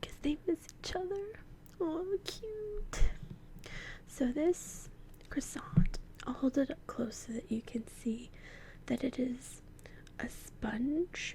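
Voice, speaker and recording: Soft-spoken, playful whispering at a very slow pace, with long, frequent pauses. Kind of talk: ASMR role-play, soft-spoken talk to camera. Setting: studio, binaural microphone. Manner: soft-spoken, playful, whispery.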